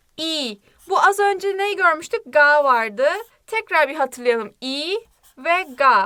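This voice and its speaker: Raising and projecting her voice, a woman speaks very slowly at a high pitch, her tone bright and sharp and her pitch swinging very widely. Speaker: Korean language teacher. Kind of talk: language lesson. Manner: animated.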